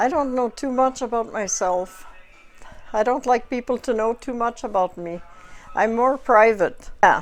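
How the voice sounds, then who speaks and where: With a French Canadian accent, a woman at a fairly high pitch speaks at a fairly slow pace with ordinary pitch variation over background music. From French Canada. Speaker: motel owner. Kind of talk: casual chat. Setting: at home.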